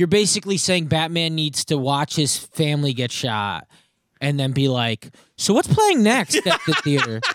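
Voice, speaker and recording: A man with an ordinary speaking voice talks at a moderate pace and a fairly high pitch, with lively intonation. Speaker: comedian. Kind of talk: casual chat.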